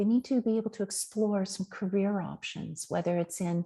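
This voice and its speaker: A woman's somewhat breathy voice with a dark, mellow tone at medium pitch, moderate pace and fairly even intonation, over a quiet background. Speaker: Montessori teacher trainer. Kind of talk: webinar presentation. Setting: online webinar.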